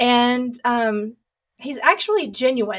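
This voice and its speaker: A loud woman with a strong Southern US accent talks at a high pitch with fairly even intonation. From US South. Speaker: sex therapist. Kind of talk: interview.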